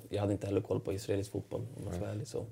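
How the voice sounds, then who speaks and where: In a very clean recording with a silent background, a man speaks with a somewhat breathy, dark, mellow tone, fairly low pitch, and monotone, flat intonation. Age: 30s. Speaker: professional footballer. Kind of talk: interview. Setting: studio.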